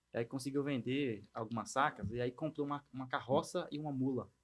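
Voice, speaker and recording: This man talks at a medium pitch. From Bahia sertão, Brazilian Northeast. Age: 30s. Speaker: agritech entrepreneur. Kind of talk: casual interview.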